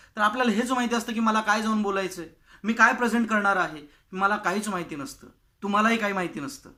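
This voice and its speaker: Raised and projected, a man's high-pitched voice has a bright, sharp tone and ordinary pitch variation, recorded very cleanly against a silent background. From Maharashtra, India. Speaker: public speaking coach. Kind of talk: tutorial.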